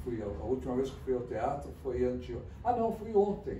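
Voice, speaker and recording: Noticeable background noise and audible echo from the room accompany the man as he talks. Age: 70s. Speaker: theatre critic. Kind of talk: interview. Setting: office.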